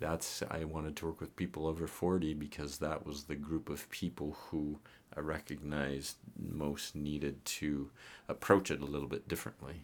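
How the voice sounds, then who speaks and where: A man speaks with a very deep, low pitch. His intonation is monotone and flat, at a moderate pace. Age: 60s. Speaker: physician and fitness coach. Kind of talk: casual interview.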